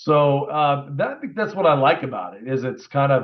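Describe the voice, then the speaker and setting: His pace is moderate. The man's voice sits at a medium pitch. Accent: Midwestern US. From Indiana, US Midwest. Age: 60s. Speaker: car dealer. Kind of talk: interview.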